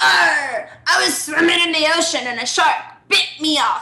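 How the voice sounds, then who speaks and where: In a put-on character voice, the speaker growls at a high pitch and a moderate pace, with audible echo. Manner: comically exaggerated.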